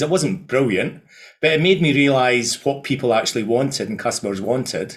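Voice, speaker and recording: Speaking in a Scottish accent, a man talks at a fairly quick pace. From Scotland. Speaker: events company founder. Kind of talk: interview. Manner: halting.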